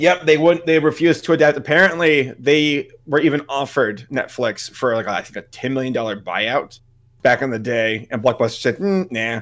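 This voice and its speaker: Here is a man with a normal speaking voice, a fairly high pitch, and ordinary pitch variation. He speaks at a moderate pace in a very clean recording with a silent background. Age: 30s. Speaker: YouTube content creator. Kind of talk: casual interview chat.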